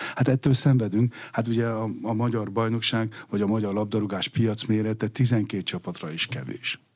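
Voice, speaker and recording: Hardly pausing, a man speaks at a moderate pace and medium pitch with fairly even intonation. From Hungary. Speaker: sports economist. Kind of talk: radio interview. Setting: studio. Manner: halting.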